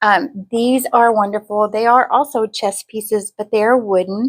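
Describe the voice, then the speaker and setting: At a moderate pace and fairly high pitch, a woman talks in an ordinary speaking voice with fairly even intonation. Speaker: craft video creator. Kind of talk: show-and-tell haul video. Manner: casual with fillers.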